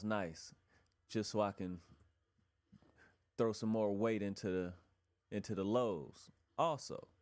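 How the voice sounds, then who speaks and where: On a very clean recording with a silent background, a man with a fairly low pitch speaks in a relaxed tone at a fairly slow pace. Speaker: musician and home recording engineer. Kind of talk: casual tutorial vlog. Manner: relaxed, conversational with filler.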